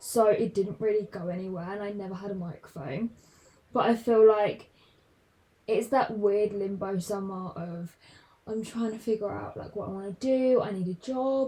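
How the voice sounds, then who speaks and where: With a southern English accent, a woman speaks at a moderate pace in a dark, mellow, somewhat breathy tone, using ordinary pitch variation and big swings in loudness. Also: medium pitch for a woman. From southern England, London. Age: 20s. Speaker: podcaster. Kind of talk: casual chat.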